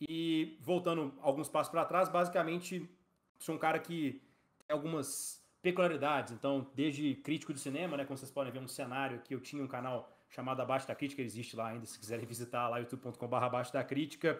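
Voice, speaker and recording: Fairly quick male speech, fairly high in pitch and with ordinary pitch variation. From Brazil, Belo Horizonte (Minas Gerais); Minas Gerais, Brazil. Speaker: startup co-founder and operations director; podcast guest. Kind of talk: casual interview. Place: home room.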